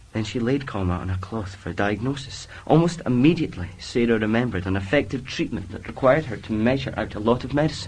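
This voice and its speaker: Speaking in a Scottish accent, a man with a medium pitch uses lively intonation and hardly any pauses. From northeast Scotland, Elgin. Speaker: drama student. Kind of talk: casual interview answers; reading aloud. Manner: halting, many fillers.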